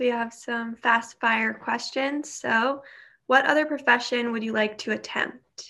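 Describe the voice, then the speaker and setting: A woman with an American accent speaks at a fairly slow pace in a bright, sharp tone, her fairly high pitch held in fairly even intonation. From New York. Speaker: cancer survivor and student panelist. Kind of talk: panel Q&A.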